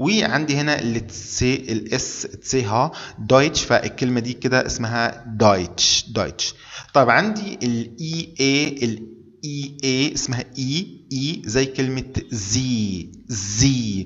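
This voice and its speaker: Talking at a very slow pace, a man with an Egyptian accent uses medium pitch and ordinary pitch variation. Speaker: German language teacher. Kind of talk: tutorial. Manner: repetitive, deliberate.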